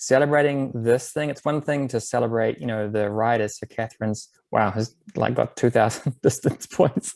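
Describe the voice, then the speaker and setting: In a New Zealand accent, a medium-pitched man talks at a fairly quick pace with ordinary pitch variation, the sound dry and close with no echo. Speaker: bike advocacy program presenter. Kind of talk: webinar presentation. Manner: casual, filler-heavy.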